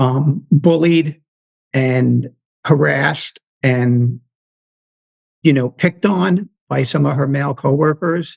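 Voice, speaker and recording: The speaker talks very slowly in a New York accent, with long, frequent pauses. The sound is dry and close with no echo. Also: man, fairly high pitch for a man, ordinary pitch variation. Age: 50s. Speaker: retired federal law enforcement officer. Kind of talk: interview storytelling. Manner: halting, many fillers.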